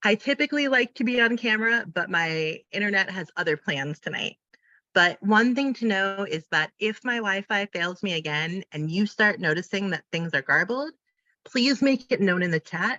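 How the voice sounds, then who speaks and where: Here is a woman with an ordinary speaking voice at medium pitch. She talks at a moderate pace with lively intonation. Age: 30s. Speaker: independent facilitator and trainer. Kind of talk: online training presentation. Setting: video call.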